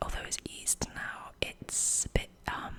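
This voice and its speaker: A woman whispers at a very slow pace. Noticeable background noise runs under her voice. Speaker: ASMR creator. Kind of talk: whisper ramble ASMR video. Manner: whispered, soft-spoken.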